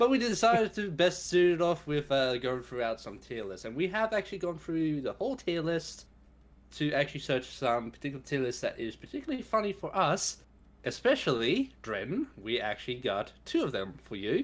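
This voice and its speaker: In a very clean recording with a silent background, the speaker talks at a moderate pace in an Australian accent. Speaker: streamer. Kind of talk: casual chat.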